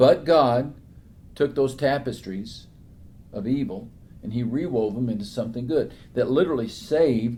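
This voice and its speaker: At a moderate pace broken by long, frequent pauses, a man speaks with a dark, mellow, somewhat breathy tone at medium pitch and ordinary pitch variation. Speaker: author and preacher, interview guest. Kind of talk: interview answer, sermon-like Bible talk.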